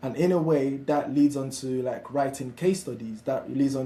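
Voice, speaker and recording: A man with a Nigerian accent, somewhat breathy, dark, mellow tone, fairly high pitch and moderate pace. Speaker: founder of an apprenticeship platform. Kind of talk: webinar discussion. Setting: live online webinar.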